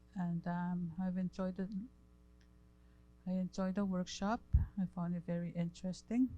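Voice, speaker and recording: Somewhat breathy and dark, mellow in tone, a woman speaks with monotone, flat intonation. She keeps a moderate pace with long, frequent pauses. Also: medium pitch for a woman. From northern Manitoba, Cree community. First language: Cree. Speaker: workshop participant. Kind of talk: workshop feedback.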